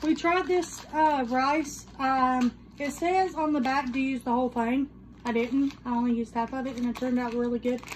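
At a moderate pace, a woman with a high voice speaks in fairly even intonation over light background noise. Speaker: vlogger. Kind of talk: casual talk to camera. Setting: home recording with microphone. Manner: projected, louder than before. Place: home room.

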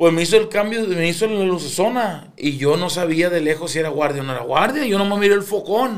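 A man's high-pitched voice rises and falls with lively intonation. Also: fairly quick pace, hardly any pauses. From Culiacán, Sinaloa, Mexico. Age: 30s. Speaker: musician. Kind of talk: casual chat.

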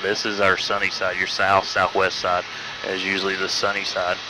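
The sound is dry, with no echo, and noticeable background noise sits behind it. The delivery moves at a fairly quick pace. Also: man. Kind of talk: tour guide commentary. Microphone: headset.

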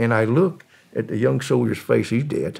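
A man speaks with a Southern US accent. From US South. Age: 80s+. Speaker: former drug smuggler. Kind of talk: storytelling interview.

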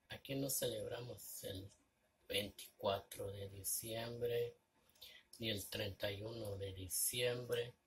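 A somewhat breathy man at a very slow pace with fairly even intonation. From Mexico. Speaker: vlogger. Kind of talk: casual vlog monologue. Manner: halting. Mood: reflective, somewhat sad. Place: home room. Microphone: phone near.

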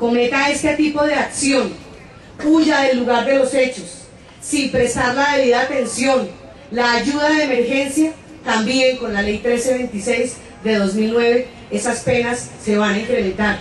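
High-pitched woman at a fairly slow pace, ordinary pitch variation, light background noise and audible room echo. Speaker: speaker. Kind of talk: public speech. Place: stage.

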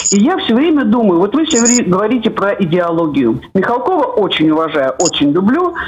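Over noticeable background noise, a woman at medium pitch talks at a fairly quick pace with hardly any pauses, very even loudness and very wide pitch swings. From Latvia. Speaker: caller. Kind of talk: call-in comment. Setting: phone call.

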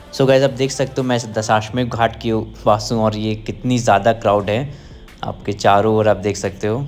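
With faint music in the background, a man with a fairly low pitch speaks at a moderate pace in a monotone, flat intonation. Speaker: travel vlogger. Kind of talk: casual vlog chat. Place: waterside. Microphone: phone near.

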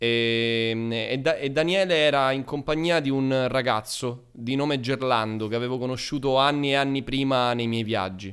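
Against a quiet background, a man with an ordinary speaking voice talks at a moderate pace and medium pitch, with ordinary pitch variation and hardly any pauses. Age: 20s. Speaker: streamer. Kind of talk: casual chat. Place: home room. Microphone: studio mic.

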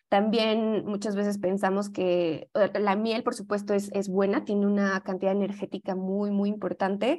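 With a Mexican accent, the speaker moves at a fairly slow pace with hardly any pauses, using a dark, mellow tone and monotone, flat intonation over a quiet background. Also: woman. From Mexico. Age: young. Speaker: yoga teacher and holistic health advisor; presenter. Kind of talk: lecture. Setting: video call. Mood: calm, friendly explaining. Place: home room. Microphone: video call.

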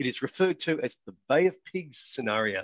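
Against a quiet background, the speaker's lively intonation moves at a moderate pace in a dry sound with no echo. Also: man. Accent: Australian. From Australia. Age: 60s. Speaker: business founder and team development consultant. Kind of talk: lecture.

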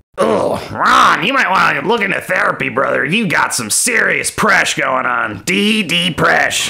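The delivery is fairly slow. It's done in a put-on character voice. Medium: machinima. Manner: laid-back, chatty, slangy surfer-bro.

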